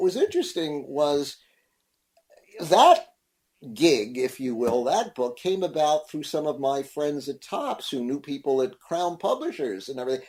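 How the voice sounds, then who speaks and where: A fairly high-pitched male voice at a fairly slow pace. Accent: slight New York. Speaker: science fiction film expert and author. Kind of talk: radio interview. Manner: repeats words, halting starts.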